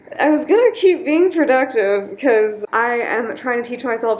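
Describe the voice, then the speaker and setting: Noticeable background noise accompanies a woman whose moderately paced speech has ordinary pitch variation. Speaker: English teaching assistant. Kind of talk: casual vlog talk to camera. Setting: apartment with fan noise, noise-reduced. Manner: casual, filler-heavy.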